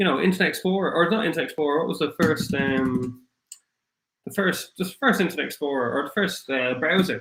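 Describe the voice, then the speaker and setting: Speaking with a strong Irish accent, a man moves at a fairly quick pace. His high-pitched voice carries lively intonation. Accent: thick Irish. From Ireland. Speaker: crypto livestream host. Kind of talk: livestream chat. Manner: halting, many fillers.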